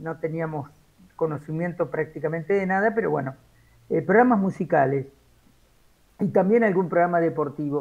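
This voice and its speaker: Moderate pace and ordinary pitch variation from a man. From Argentina, Buenos Aires province (Cacharí). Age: 60s. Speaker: radio journalist. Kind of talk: interview. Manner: hesitant, with many fillers.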